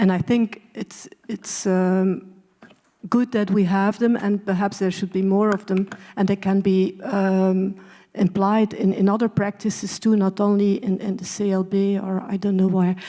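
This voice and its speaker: A woman's dark, mellow voice at medium pitch, flat and monotone in a Dutch accent, at a fairly slow pace. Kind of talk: panel discussion. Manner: halting.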